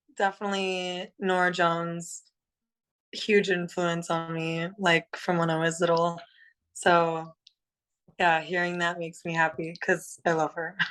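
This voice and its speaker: In a Californian accent, a woman talks at a fairly slow pace and a fairly low pitch, with monotone, flat intonation, long, frequent pauses, and a quiet background. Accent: General American, Californian. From California, Los Angeles. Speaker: singer in a rock band. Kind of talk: casual interview.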